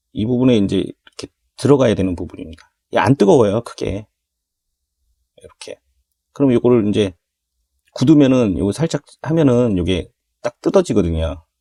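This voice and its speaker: At a moderate pace with long, frequent pauses, a man with a medium pitch and a dark, mellow tone speaks with lively intonation and big swings in loudness, in a dry, close sound with no echo. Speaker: hobby model builder. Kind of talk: tutorial. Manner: casual, conversational.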